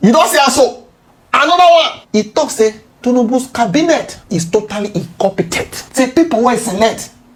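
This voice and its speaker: Noticeable background noise is present. The speaking pace is moderate. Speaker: political commentator. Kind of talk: casual commentary lecture.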